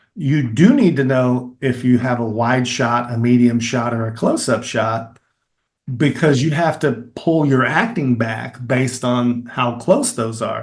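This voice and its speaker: With a Kentucky accent, a man speaks at a moderate pace. His pitch is medium, with ordinary variation. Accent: Kentucky Southern US. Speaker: filmmaker and actor. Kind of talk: interview answer.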